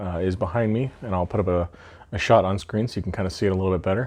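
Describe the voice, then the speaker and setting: Mumbling, a man speaks with a very deep, low pitch and ordinary pitch variation. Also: quiet background. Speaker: miniature painting hobbyist. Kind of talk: video intro to camera. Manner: rambling, mumbles a lot. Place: home room. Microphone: webcam.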